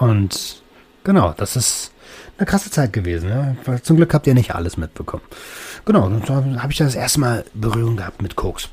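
The man's pitch sits in the medium range and moves through very wide swings. He keeps to a moderate pace. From Berlin, Germany. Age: 30s. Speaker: podcast host. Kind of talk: personal monologue. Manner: casual, with many fillers.

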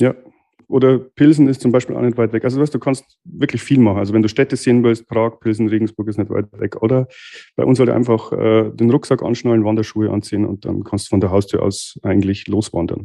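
This man's voice has a dark, mellow tone. He talks at a fairly quick pace with ordinary pitch variation. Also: medium pitch for a man. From Bavarian Forest, Bavaria, Germany. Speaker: master dental technician, lab owner. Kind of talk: casual interview. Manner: hesitant, many fillers.

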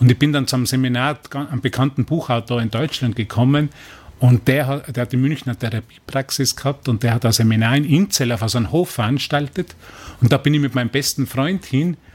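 Somewhat breathy speech comes at a fairly quick pace. The recording is very clean, with a silent background. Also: man, medium pitch for a man, ordinary pitch variation. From Austria, Tyrol. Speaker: spiritual course teacher. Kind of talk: radio interview. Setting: radio studio. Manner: halting, repetitive.

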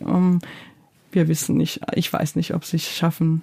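A woman talks in a Georgian accent. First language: Georgian (speaking German). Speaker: playwright and theatre director. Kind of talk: interview. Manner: hesitant, many fillers.

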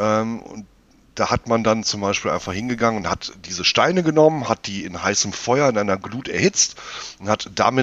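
Here is a man with an unremarkable speaking voice at a medium pitch. He speaks at a moderate pace with lively intonation. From Rhineland, Germany. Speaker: hobby brewer podcast co-host. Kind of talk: casual chat.

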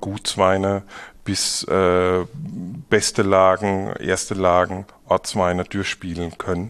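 Intonation remains fairly even throughout. Each word arrives at a very slow pace. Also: man, quiet background. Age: young. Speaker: winemaker. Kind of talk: casual interview.

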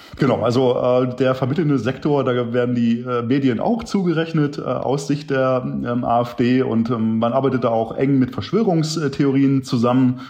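Over noticeable background noise and audible room echo, a man of medium pitch talks at a moderate pace with fairly even intonation, very even loudness and hardly any pauses. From eastern Germany, Wittenberg, Saxony-Anhalt. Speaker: political scientist. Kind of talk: interview. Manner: frequent hesitations (äh, ähm).

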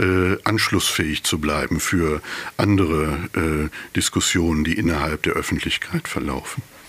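With noticeable background noise behind him, a man talks at a fairly slow pace with ordinary pitch variation. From East Westphalia, Germany (Bünde). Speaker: philosopher of religion. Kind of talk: interview conversation. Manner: halting, many fillers.

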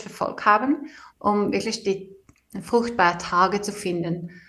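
A woman with a Swedish accent speaks at a moderate pace and medium pitch. Her intonation is fairly even. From Sweden. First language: Swedish (speaking German). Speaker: engineer and author. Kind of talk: interview. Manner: halting.

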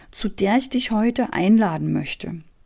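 On a very clean recording with a silent background, a woman talks at a very slow pace with a fairly high pitch, a dark, mellow tone, a somewhat breathy quality and lively intonation. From East Germany. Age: 40s. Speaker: business coach and podcast host. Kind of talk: motivational monologue.

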